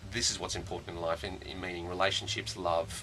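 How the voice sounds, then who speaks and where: Noticeable background noise accompanies a man whose very deep, low voice moves at a fairly quick pace. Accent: Australian. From Australia, Sydney. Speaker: musical theatre puppeteer actor. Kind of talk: radio interview. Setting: radio studio. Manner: halting.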